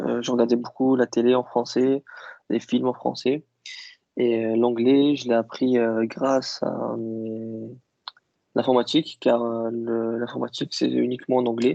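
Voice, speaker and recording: A man talks at a fairly slow pace and medium pitch, monotone and flat. His voice sounds dry and close with no echo. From Algeria (Kabyle). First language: Kabyle (speaking French). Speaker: IT worker interviewed about languages. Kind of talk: interview. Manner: hesitant, many fillers.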